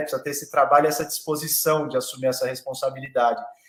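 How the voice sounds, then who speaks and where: A man talks at a very fast pace. His voice is fairly high in pitch, with a bright, sharp tone. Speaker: lawyer and law professor. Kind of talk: online panel discussion.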